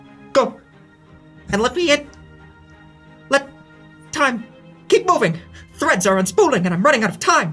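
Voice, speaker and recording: Putting on a character voice at an extremely high pitch, a man speaks at a moderate pace with long, frequent pauses over faint music in the background. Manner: stuttering, urgent, fading in and out.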